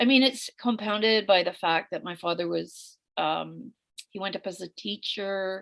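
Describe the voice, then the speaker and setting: The delivery has fairly even intonation at a moderate pace. The sound is dry and close, with no echo. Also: woman. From Northwest Territories, Canada (Yellowknife). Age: 60s. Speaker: memoir author. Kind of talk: interview. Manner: halting.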